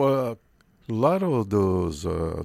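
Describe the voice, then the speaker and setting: A man speaks with a Portuguese accent at a fairly low pitch. His pitch swings very widely. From Brazil. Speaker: radio host. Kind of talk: radio interview.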